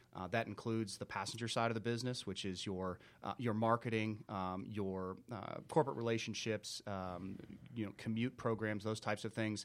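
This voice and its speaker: A man with an unremarkable speaking voice talks at a moderate pace, his fairly low pitch carried on fairly even intonation, in a very clean recording with a silent background. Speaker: business manager. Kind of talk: interview. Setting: studio.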